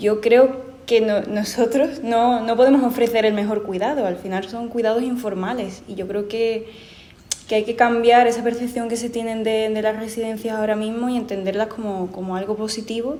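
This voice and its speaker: Monotone, flat intonation at a moderate pace, with audible room echo and noticeable background noise. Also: woman, fairly high pitch for a woman. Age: young. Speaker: panelist. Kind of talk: panel discussion. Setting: presentation hall with audience.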